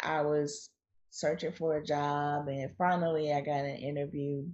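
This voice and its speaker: A woman talks with a North Carolina accent at a very deep, low pitch. Her intonation stays fairly even. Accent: North Carolina Southern US. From North Carolina, US South. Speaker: author and blogger. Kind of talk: casual interview chat. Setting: remote call.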